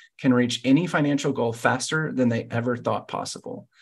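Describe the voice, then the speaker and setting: The background is quiet as a man talks. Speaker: podcast host. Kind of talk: guest introduction, interview. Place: home room. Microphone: headset.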